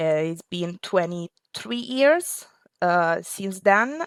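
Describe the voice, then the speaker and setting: A woman with an Italian accent talks at a very slow pace and a medium pitch. The recording is very clean and dry, with a silent background and a close sound with no echo. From Italy. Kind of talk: interview. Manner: halting.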